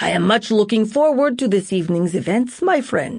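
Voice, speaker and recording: A woman performs a put-on character voice at a fairly high pitch. She keeps a moderate pace. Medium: read story. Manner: smooth, jovial.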